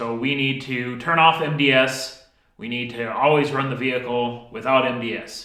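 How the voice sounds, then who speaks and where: Audible room echo surrounds a man speaking at a medium pitch. His pace is fairly slow and his intonation fairly even. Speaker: DIY mechanic video host. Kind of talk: workshop tutorial talk. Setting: home workshop.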